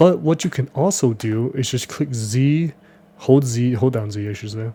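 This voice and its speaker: Somewhat breathy, a man talks in a dark, mellow tone. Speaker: 3D modeling tutorial creator. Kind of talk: tutorial. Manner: fast; casual, with filler words.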